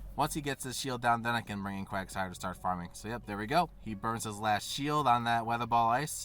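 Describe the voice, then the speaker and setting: Over music in the background, a man talks at a fairly quick pace with medium pitch. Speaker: gaming YouTuber. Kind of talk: gameplay commentary. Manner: animated.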